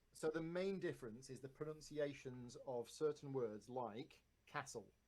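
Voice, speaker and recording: A man speaks at a moderate pace, his fairly high pitch showing ordinary variation. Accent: Northern English. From north of England.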